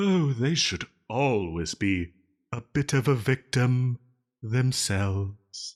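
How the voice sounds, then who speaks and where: A man's put-on character voice, dramatic and theatrical, at a very slow pace with lively intonation and a dry, close sound with no echo. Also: very clean recording, silent background. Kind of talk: audio roleplay. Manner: dramatic, theatrical.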